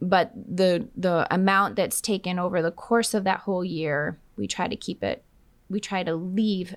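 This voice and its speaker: In an American accent, a woman with an ordinary speaking voice talks at a fairly slow pace in a medium pitch with fairly even intonation, on a very clean recording with a silent background. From Minnesota. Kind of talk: interview.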